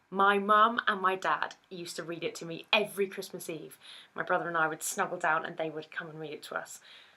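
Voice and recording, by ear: At a moderate pace, a woman speaks with a fairly low pitch, a bright, sharp tone and fairly even intonation.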